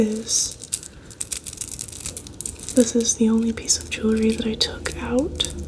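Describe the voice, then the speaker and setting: Soft-spoken and fairly slow, a woman talks with long, frequent pauses over noticeable background noise. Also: big swings in loudness. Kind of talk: ASMR soft-spoken show and tell to camera.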